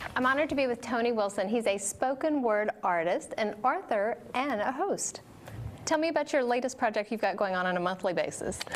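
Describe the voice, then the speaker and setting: Over noticeable background noise, a woman speaks at a fairly quick pace in a fairly high pitch, her tone upbeat, her intonation lively and her loudness very even. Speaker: TV host. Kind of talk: TV show host intro.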